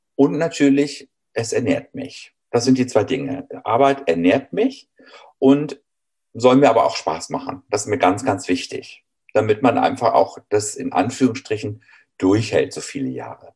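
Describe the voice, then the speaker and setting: Vocal fry marks this man's speech, delivered at a fairly slow pace with ordinary pitch variation. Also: medium pitch for a man. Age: 50s. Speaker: train driver, former eye doctor. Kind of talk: interview.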